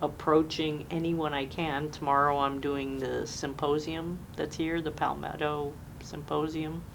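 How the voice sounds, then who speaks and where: Over noticeable background noise and audible room echo, a woman with an American accent speaks slowly in a very deep, low, monotone voice with flat intonation and a fairly slow pace. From US Northeast (Jamestown, New York). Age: 60s. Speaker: military veteran. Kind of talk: oral history interview.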